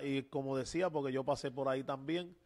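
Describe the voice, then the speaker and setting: A man at a moderate pace with fairly even intonation, on a very clean recording with a silent background. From Puerto Rico, Loíza. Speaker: pastor and podcast host. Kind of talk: religious interview. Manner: halting, many fillers.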